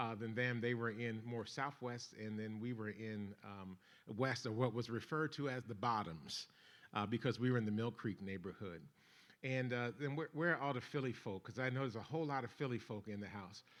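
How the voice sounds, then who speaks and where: It is a man with an ordinary speaking voice, pitched medium with ordinary variation. The recording is very clean, the background silent. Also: fairly quick pace. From Philadelphia, US. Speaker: bishop and faith-based organizer. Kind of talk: seminar talk to a church audience. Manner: informal, conversational.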